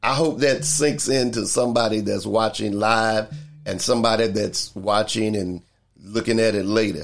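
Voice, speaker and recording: Medium in pitch, this man's voice shows ordinary pitch variation. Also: moderate pace, very clean recording, silent background. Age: 60s. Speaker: church minister hosting a talk podcast. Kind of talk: livestreamed inspirational talk. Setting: live video stream. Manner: repetitive, preacher-like emphasis.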